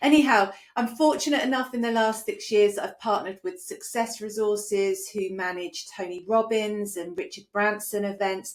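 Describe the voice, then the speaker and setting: A woman with a British accent speaks at a fairly high pitch. She keeps a moderate pace with ordinary pitch variation. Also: hardly any pauses. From UK. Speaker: business coach. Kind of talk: online training presentation. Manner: conversational.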